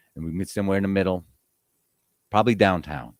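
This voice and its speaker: The man's voice is very deep and low with vocal fry, captured in a dry, close sound with no echo. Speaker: livestream radio host. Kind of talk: casual chat. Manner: fast.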